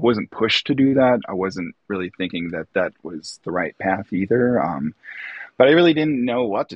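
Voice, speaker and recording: A man with a Chicago accent, a fairly low pitch, lively intonation and a moderate pace. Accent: US Midwest (Chicago area). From northern Illinois (Lake County). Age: 40s. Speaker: illustrator and artist. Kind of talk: casual chat.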